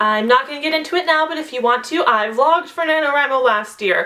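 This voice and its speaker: Her intonation lively, a woman talks at a fairly quick pace in a high pitch. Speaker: vlogger. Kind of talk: casual vlog. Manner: animated; loud.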